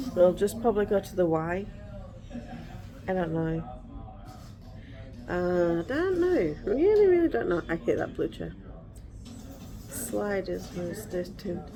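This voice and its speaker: Amid noticeable background noise, a woman speaks fairly slowly with long, frequent pauses. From England. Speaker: vlogger, mother. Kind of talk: casual chat. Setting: at home, filming video.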